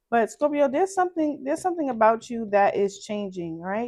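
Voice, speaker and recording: A woman with a Brooklyn accent speaks at a fairly high pitch. Her intonation is lively. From Brooklyn, New York. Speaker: tarot reader. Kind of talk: tarot reading.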